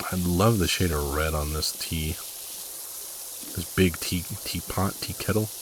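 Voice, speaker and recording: A man's quiet, very deep, low voice at a fairly slow pace, with fairly even intonation, long, frequent pauses and noticeable background noise. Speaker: gaming YouTuber. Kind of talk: casual gameplay commentary. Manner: unscripted, rambling with fillers.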